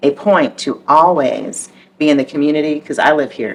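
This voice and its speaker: In an American accent, a woman speaks at a very deep, low pitch. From military childhood, partly Southern California and overseas. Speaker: mayor. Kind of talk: interview conversation.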